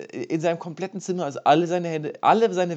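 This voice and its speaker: Speaking very fast, a man keeps his voice at a fairly high pitch. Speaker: podcast co-host, university student. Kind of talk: casual chat.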